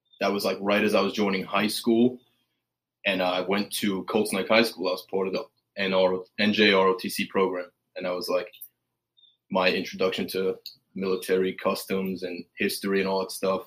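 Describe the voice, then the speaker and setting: A man with an American accent talks at a moderate pace, pitched fairly low. His intonation is monotone and flat, broken by long, frequent pauses. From Staten Island, New York. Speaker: Marine Corps veteran in recovery. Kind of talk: casual interview.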